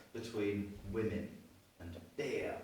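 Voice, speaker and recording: A man speaks with an English accent. The room echo is audible. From England. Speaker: after-dinner speaker. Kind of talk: after-dinner speech. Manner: hesitant fillers.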